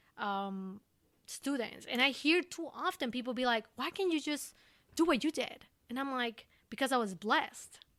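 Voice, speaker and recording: With an Ecuadorian accent, a woman talks at a moderate pace in a high voice with lively intonation. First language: Spanish. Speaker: recruiter. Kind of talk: podcast interview.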